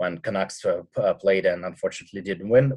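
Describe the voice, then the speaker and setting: This man speaks with a Russian accent. His pace is fairly quick. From Russia, Siberia. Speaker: punk rock singer and radio host. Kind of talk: casual interview. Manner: halting.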